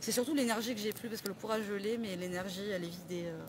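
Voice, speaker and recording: This woman speaks very fast at a medium pitch, with ordinary pitch variation. Noticeable background noise is present. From southern France, Perpignan. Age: 20s. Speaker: suspended home care worker. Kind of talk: street interview. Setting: outdoors. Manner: halting.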